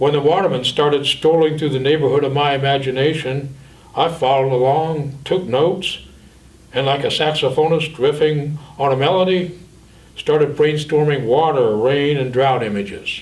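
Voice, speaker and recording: A man with an ordinary speaking voice talks at a moderate pace, fairly high in pitch, with fairly even intonation. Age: 60s. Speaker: poet and school psychologist. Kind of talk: talk about creative process.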